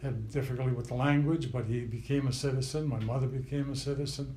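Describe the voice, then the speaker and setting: An American accent from a man at medium pitch, somewhat breathy and dark, mellow in tone, monotone and flat in intonation, at a fairly quick pace, with audible room echo. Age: 80s+. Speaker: interviewee, grandfather. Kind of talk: family oral history interview. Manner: halting, many fillers.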